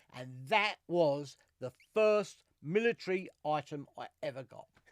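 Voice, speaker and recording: A man with an East London accent, high in pitch, with lively intonation and big swings in loudness. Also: fairly slow pace, dry, close sound with no echo. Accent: East End London (Cockney). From East London, England. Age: 60s. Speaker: military collector and podcast co-host. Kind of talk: casual chat.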